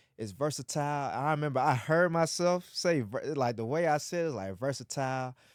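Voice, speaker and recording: Speaking fairly quickly with hardly any pauses, a man has an ordinary speaking voice, a fairly high pitch and ordinary pitch variation. The recording is very clean, with a silent background. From Atlanta, US South. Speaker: podcast co-host. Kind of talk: casual chat.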